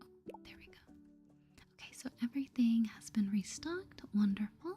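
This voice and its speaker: Soft-spoken and at a moderate pace, the voice comes over music in the background. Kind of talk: soft-spoken asmr gaming commentary.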